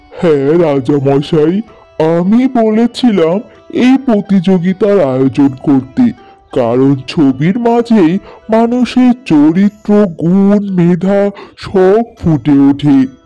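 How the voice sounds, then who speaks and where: Over faint background music, a man in a cartoonish character voice talks at a very slow pace, high-pitched and at very even loudness. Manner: calm, respectful.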